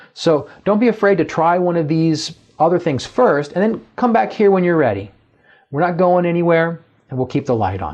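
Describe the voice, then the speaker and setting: Music plays in the background as a man talks at a moderate pace. His pitch is high and his intonation lively. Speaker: professor. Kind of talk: lecture.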